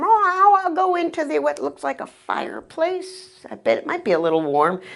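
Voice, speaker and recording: A woman's squeaky, put-on character voice at an extremely high pitch and a moderate pace. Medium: read story.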